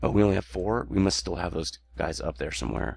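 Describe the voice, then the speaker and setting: Over music in the background, a man with a very deep, low pitch talks at a fairly quick pace. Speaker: gaming let's play creator. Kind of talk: gameplay commentary. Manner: casual, halting with fillers.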